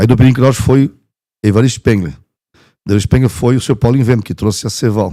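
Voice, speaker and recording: With a dark, mellow tone and medium pitch, a man talks at a fairly quick pace with ordinary pitch variation and long, frequent pauses, on a very clean recording with a silent background. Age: 50s. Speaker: veterinarian and former mayor. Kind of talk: interview storytelling.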